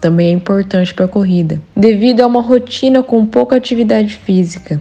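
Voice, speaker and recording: In an ordinary speaking voice, a woman with fairly high pitch talks at a moderate pace, her pitch varying in an ordinary way. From Brazil, Andradina, São Paulo interior. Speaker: running coach. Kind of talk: interview, giving running tips.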